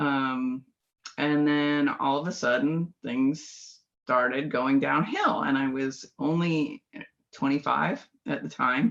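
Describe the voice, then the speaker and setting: Very slowly, a woman with an American accent speaks at a very deep, low pitch with ordinary pitch variation. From California. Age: 50s. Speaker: biofeedback practitioner. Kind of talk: interview.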